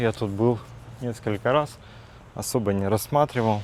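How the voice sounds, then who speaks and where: The man's voice sits fairly low, with ordinary pitch variation. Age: 40s. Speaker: vlogger. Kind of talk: casual vlog monologue. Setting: outdoors, walking in a park. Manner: hesitant, with fillers.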